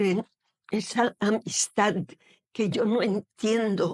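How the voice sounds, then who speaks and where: A woman at medium pitch, very slow pace, with a dry, close sound with no echo. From Algeria, Oran. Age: 70s. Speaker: poet, retired teacher. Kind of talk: interview. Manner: hesitant, with fillers.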